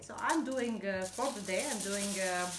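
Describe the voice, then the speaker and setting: Amid audible room echo and noticeable background noise, a woman talks at a moderate pace with lively intonation. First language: not English. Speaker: hobby crafter. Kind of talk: tutorial. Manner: halting, many fillers and repetitions.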